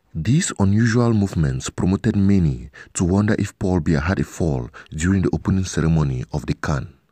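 A man speaks with a low pitch and a dark, mellow tone. His pace is moderate and his intonation lively.

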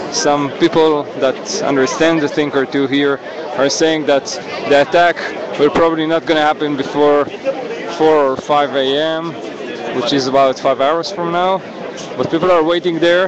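With noticeable background noise and a dry sound with no echo, a man speaks at a moderate pace in a monotone, flat intonation, leaving long, frequent pauses. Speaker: live streamer at protest. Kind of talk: live walking commentary. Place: street. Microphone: phone near.

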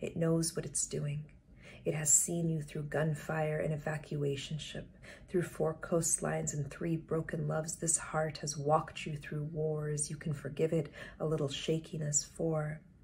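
The somewhat breathy voice moves at a fairly slow pace with monotone, flat intonation over light background noise. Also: woman, very deep, low pitch for a woman. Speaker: poet reading her own work. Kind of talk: poetry reading. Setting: online live stream session. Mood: calm, earnest, intimate. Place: home room. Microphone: webcam.

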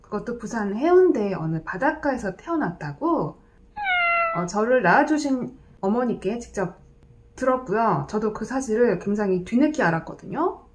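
Her pitch is fairly high for a woman, with very wide pitch swings. She speaks at a fairly slow pace. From Gyeongsang region, South Korea (born in Busan). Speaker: YouTuber and retired landlord; YouTuber. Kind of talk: casual vlog monologue. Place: home room. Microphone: phone near.

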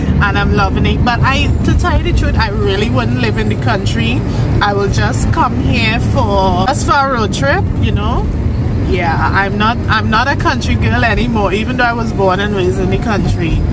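Loud background noise surrounds a woman talking at a moderate pace. The sound is dry, with no echo. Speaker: vlogger. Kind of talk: casual vlog chat. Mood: relaxed, cheerful. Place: car. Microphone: phone near.

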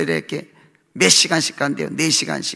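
Against a quiet background, a man speaks at a moderate pace in an animated, bright and sharp tone. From South Korea. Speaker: pastor. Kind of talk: sermon. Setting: church. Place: church. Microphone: podium.

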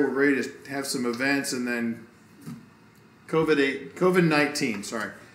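With audible room echo, a man speaks at a fairly high pitch with fairly even intonation. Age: 50s. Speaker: pastor. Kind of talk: casual chat. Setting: indoors next to a fireplace, video recording. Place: home room.

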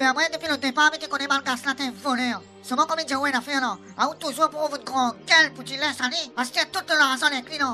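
A woman speaks at a very fast pace in a put-on character voice. Music plays clearly in the background. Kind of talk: comic overacting. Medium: audio drama. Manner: grumbling, scolding.

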